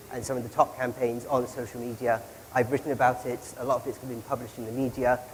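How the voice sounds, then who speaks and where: A man with a medium pitch talks fairly quickly. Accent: British. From Britain. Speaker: social media analyst. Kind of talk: conference presentation.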